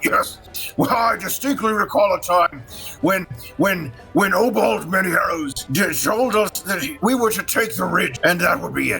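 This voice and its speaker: A man's put-on character voice, high-pitched, with long, frequent pauses and clear music in the background. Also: moderate pace. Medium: actual play. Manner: shouting, rambling.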